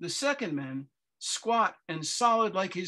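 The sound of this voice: An unforced reading voice with lively intonation comes over a quiet background.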